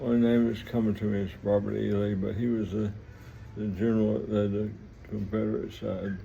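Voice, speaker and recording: In an American accent, a man talks at a fairly quick pace with a fairly low, dark, mellow voice. His intonation is monotone and flat, and there is audible room echo. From US South, Mississippi (Vicksburg). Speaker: vlogger telling life story. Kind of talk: personal storytelling monologue. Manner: halting, rambling with repetitions.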